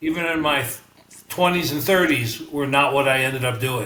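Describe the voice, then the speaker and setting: A man speaks at a moderate pace with ordinary pitch variation, his voice caught in audible room echo and noticeable background noise. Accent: New York. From New York (Bronx, Manhattan, Long Island). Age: 70s. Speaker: retired businessman. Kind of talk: podcast interview. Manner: hesitant, many fillers.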